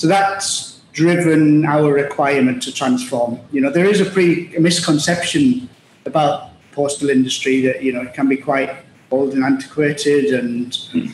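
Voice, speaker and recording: Noticeable background noise sits behind a man speaking at a moderate pace in a Teesside accent. His pitch is fairly high, with ordinary pitch variation. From northeast England, Middlesbrough. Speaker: logistics executive. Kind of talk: interview. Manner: halting.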